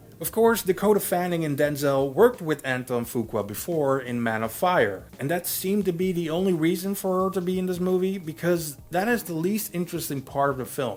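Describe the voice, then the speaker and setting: Lively intonation and a fairly quick pace with hardly any pauses come through over noticeable background noise. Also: man, high pitch for a man. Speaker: movie reviewer. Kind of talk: film review monologue. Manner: casual, jokey.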